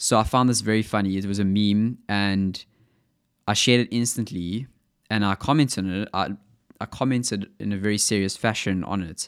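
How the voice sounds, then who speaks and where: A man with a South African accent speaks at a fairly quick pace in a fairly low voice, his intonation fairly even, on a very clean recording with a silent background. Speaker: podcast host. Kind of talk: solo monologue podcast. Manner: informal, rambling with filler words.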